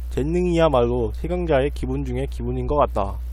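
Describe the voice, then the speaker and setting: Over noticeable background noise and audible room echo, a man speaks in a very deep, low pitch. His delivery is fairly quick with a monotone, flat intonation. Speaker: blogger reading own diary posts. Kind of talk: reading aloud. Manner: halting, frequent stumbles and restarts.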